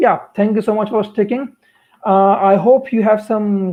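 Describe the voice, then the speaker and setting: With fairly even intonation, a man talks in a high-pitched voice. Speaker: software developer and community organizer. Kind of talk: tech talk on live stream. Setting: live stream. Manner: hesitant with fillers.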